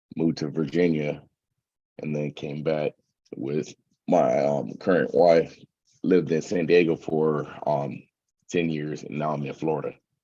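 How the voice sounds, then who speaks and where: In a monotone, flat intonation, a man with an American accent speaks at a very deep, low pitch and a fairly slow pace, with long, frequent pauses. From California (San Bernardino). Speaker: military veteran. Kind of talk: casual chat.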